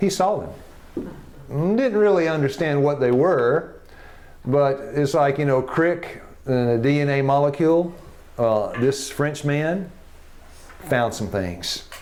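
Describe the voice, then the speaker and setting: A very slow, fairly high-pitched male voice with a Tennessee accent, long and frequent pauses, and audible room echo. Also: lively intonation. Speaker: health education teacher. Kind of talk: classroom lecture. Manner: animated.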